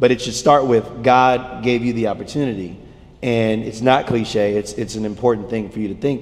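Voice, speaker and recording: Here a man is talking. His pace is moderate and his intonation fairly even. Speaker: church youth leader. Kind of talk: sermon. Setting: stage with audience. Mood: relaxed, warm, light humor. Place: stage.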